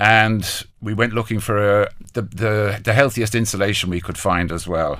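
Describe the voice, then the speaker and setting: With an Irish accent, the speaker uses a bright, sharp tone at a moderate pace and fairly even intonation. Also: man, fairly low pitch for a man. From Ireland. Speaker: business owner. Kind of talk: interview. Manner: halting, repetitive.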